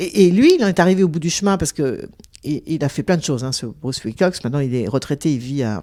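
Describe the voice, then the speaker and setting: This woman talks very fast in a very deep, low voice with a dark, mellow tone and lively intonation. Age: 60s. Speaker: investigative journalist and author. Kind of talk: interview. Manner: hesitant, many fillers.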